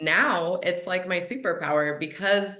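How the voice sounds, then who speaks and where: Audible room echo surrounds a woman speaking at a fairly slow pace with a fairly low pitch, a bright, sharp tone and ordinary pitch variation. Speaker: hypnotherapist and manifestation coach. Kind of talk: podcast interview. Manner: casual, chatty.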